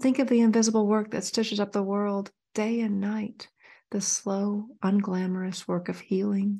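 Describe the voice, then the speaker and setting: Over a quiet background, a woman with a medium pitch speaks at a moderate pace in a warm, dark, mellow tone that is somewhat breathy. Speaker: podcast host. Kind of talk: poetry reading, read aloud in a calm, expressive, lyrical cadence. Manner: measured, reflective, warm and intimate.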